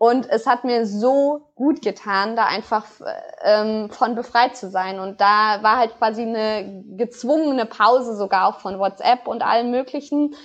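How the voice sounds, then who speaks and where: A woman's normal speaking voice, fairly high in pitch, at a fairly slow pace with ordinary pitch variation. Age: 20s. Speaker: sport psychologist and researcher. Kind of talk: podcast interview.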